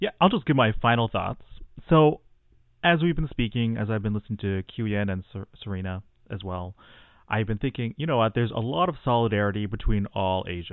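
With a Canadian accent, a man uses a normal speaking voice at a medium pitch, moving at a fairly quick pace with lively intonation. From Canada, Tamil background. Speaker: mental health clinician. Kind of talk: casual chat.

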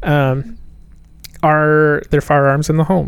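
In a fairly high voice, a man talks with monotone, flat intonation. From Appalachia, US South. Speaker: medical student. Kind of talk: casual group discussion.

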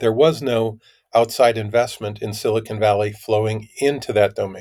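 Recorded very cleanly with a silent background, a man with a plain, everyday voice speaks at medium pitch and a moderate pace with fairly even intonation. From US Midwest, Minnesota. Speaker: tech company CEO. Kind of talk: interview.

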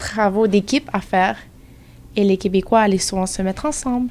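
The voice belongs to a woman and sits at a fairly high pitch. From Montreal, Quebec. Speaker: student. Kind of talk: group discussion.

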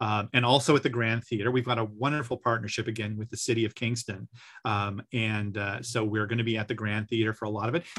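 The sound is dry and close with no echo. A man at medium pitch speaks at a very fast pace in a monotone, flat delivery. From Newfoundland (Gander), Canada. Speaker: music professor and composer. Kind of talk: radio interview. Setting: video call.

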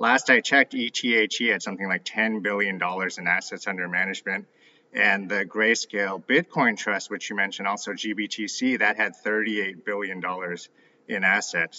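With a plain, everyday voice, a man speaks at a moderate pace, his fairly low pitch held in fairly even intonation. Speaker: ETF analyst guest. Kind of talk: interview.

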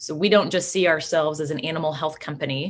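A woman with a Midwestern American accent speaks at a fairly quick pace. Her pitch is very deep and low with ordinary variation, against a quiet background. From Kansas. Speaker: agribusiness professional. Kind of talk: interview. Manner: animated.

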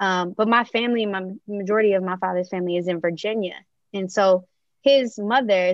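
A woman talks at a fairly quick pace with a medium pitch and ordinary pitch variation. It is a plain, everyday voice. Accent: American. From Maryland, US. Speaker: early childhood educator. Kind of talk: interview conversation.

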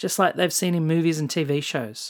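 A woman with an Australian accent talks at a moderate pace in a very deep, low pitch. The recording is very clean, with a silent background. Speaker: travel podcast host. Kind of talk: scripted narration.

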